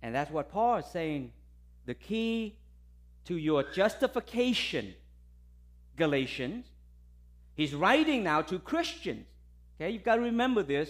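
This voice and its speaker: Speaking fairly slowly with a Vietnamese accent, a man uses a high pitch with very wide pitch swings and long, frequent pauses on a very clean recording with a silent background. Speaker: visiting pastor. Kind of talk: sermon. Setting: church. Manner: hesitant, many fillers and repetitions.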